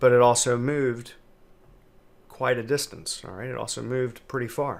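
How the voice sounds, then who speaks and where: A man's medium-pitched voice at a moderate pace. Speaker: trading educator. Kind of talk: tutorial.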